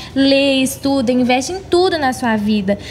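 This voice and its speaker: An animated tone comes through in an English accent, with noticeable background noise. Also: woman. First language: English (speaking Portuguese). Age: 20s. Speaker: gospel singer. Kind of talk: interview.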